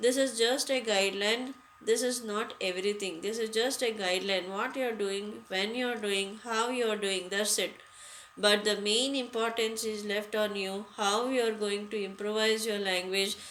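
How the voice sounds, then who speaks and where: Audible room echo surrounds fairly slow speech whose intonation stays fairly even. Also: woman, fairly high pitch for a woman. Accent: Indian. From India. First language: Hindi. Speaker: English teacher. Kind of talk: lecture. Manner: halting, many fillers.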